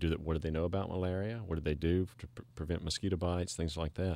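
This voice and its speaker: The speech comes at a very fast pace in a Southern US accent. The tone is dark and mellow, with fairly even intonation. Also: man. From Mississippi. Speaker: preventive medicine doctor and documentary filmmaker. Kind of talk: radio interview.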